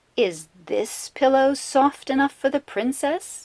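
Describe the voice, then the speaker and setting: A woman's put-on character voice, high-pitched and fairly slow, with a dry, close sound and no echo. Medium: read story.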